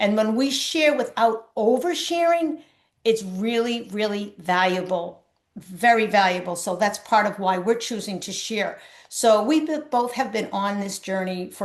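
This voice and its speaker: A woman's unremarkable speaking voice, fairly high in pitch, at a moderate pace with lively intonation. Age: 60s. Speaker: spiritual coach. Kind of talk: casual chat.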